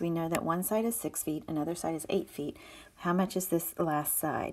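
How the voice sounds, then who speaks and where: A woman's unremarkable speaking voice, fairly low in pitch, with ordinary pitch variation and a moderate pace. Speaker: math teacher. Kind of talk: video lesson tutorial.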